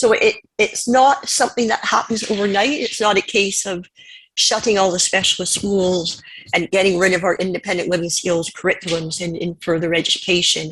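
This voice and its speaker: Speaking at a fairly quick pace, a woman with a Canadian accent has an unremarkable speaking voice, medium pitch and ordinary pitch variation. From Canada. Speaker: panelist. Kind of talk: conference presentation.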